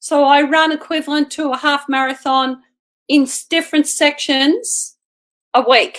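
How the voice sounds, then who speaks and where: A woman with an Australian accent speaks in a raised, projected voice at a high pitch. Her tone is bright and sharp, and her pace fairly slow. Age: 60s. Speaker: martial artist and amateur athlete. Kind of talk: interview.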